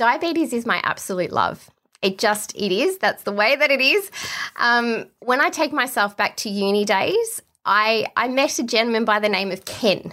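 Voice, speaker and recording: In a very clean recording with a silent background, a woman talks at a moderate pace with an Australian accent. Her tone is bright and sharp, her pitch fairly high, and her intonation lively. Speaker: exercise physiologist. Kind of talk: interview.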